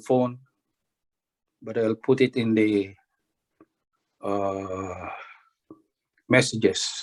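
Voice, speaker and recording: Speaking at a very slow pace, a man uses a medium pitch and fairly even intonation. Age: 60s. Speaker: workshop participant. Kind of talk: group call sharing. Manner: halting.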